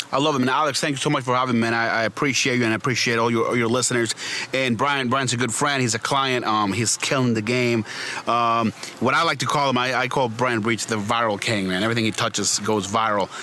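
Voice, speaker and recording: A very fast voice with fairly even intonation and very even loudness comes through over noticeable background noise. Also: man, medium pitch for a man. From Venezuela. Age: 30s. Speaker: PR and branding agency owner. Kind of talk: podcast interview. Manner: hesitant, many fillers and repeats.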